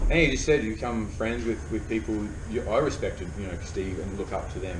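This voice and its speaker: Speaking at a very fast pace with an Australian accent, this voice has lively intonation and audible room echo. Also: man. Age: 30s. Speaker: professional paddler. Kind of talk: casual chat. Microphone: poor sound quality.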